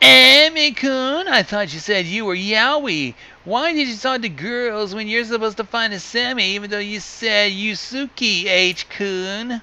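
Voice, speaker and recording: A cartoonish character voice at a fairly slow pace. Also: man, high pitch for a man. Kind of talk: exaggerated anime-style delivery. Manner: dramatic, theatrical.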